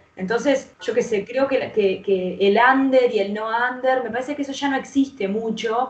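A woman keeps a moderate pace at a fairly high pitch, her pitch varying in an ordinary way, while noticeable background noise sounds behind her. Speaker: rapper and singer. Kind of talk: casual interview.

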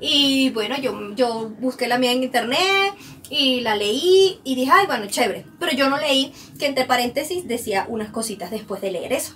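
A woman's high voice with lively intonation at a moderate pace, amid noticeable background noise. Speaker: podcast co-host. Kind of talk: casual chat.

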